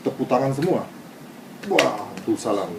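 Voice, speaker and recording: A man with a Japanese accent talks at a moderate pace in a medium pitch, over noticeable background noise. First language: Japanese (speaking Indonesian). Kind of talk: interview testimony.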